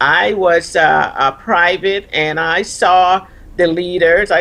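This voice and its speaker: In a Caribbean accent, a woman talks with a fairly low pitch. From Caribbean, Virgin Islands. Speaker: retired army officer and leadership coach. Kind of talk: TV interview.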